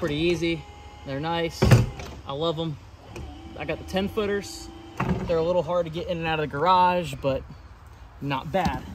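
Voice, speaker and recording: With noticeable background noise, a man speaks in a high voice at a moderate pace, with ordinary pitch variation and long, frequent pauses. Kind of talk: casual tour commentary. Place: garden. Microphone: phone near.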